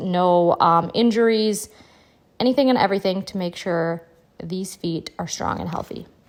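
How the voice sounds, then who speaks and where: A woman talks at a moderate pace in an unremarkable speaking voice. Her pitch sits in the medium range with ordinary variation. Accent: American. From Wisconsin, USA. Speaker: dairy farmer, vlogger. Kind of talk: casual talk to camera. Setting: outdoors on a farm.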